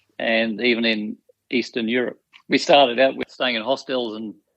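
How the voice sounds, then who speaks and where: With an Australian accent, a man talks at a moderate pace in a medium-pitched voice with fairly even intonation. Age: 60s. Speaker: retired teacher and hiker. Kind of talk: podcast interview.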